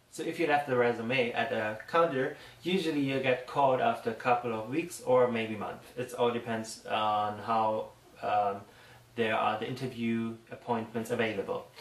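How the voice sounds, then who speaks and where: Over noticeable background noise, a man with a German accent speaks at a moderate pace and medium pitch with ordinary pitch variation. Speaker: makeup artist. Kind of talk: tutorial. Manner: halting.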